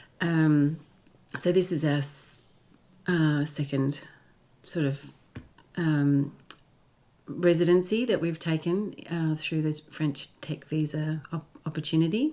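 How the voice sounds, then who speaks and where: Very slow and full of long, frequent pauses, a woman with an Australian accent speaks in a very deep, low pitch with a dark, mellow tone and fairly even intonation. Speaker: digital nomad. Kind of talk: interview.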